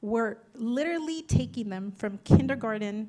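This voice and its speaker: A dark, mellow tone comes through in a Spanish accent. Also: woman. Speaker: political candidate. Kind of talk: candidate forum answer. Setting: community forum with audience.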